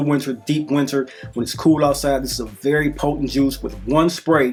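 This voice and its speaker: Music plays in the background. A man talks at a fairly quick pace in a fairly high voice. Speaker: fragrance reviewer. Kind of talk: product review monologue. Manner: halting.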